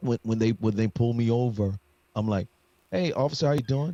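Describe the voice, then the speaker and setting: The man talks at a fairly quick pace. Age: 60s. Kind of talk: casual chat. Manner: animated.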